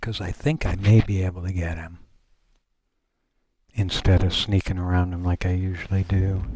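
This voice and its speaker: A man with a very deep, low, dark and mellow voice speaks somewhat breathily at a moderate pace, with fairly even intonation and long, frequent pauses. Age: old. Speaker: gaming streamer. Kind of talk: live game commentary. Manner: casual.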